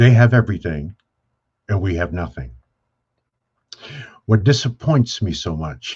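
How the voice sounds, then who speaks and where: The voice is somewhat breathy and moves at a moderate pace. Its pitch varies in an ordinary way against a quiet background. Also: man. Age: 70s. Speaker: business speaker on wealth creation. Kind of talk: panel discussion. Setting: video call. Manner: animated.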